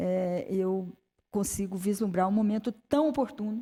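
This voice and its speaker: A woman talks at a very slow pace in a dark, mellow tone. Her pitch sits in the medium range, with ordinary variation. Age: 60s. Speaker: high court judge. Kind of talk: conference speech. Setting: auditorium with audience. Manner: halting, many fillers.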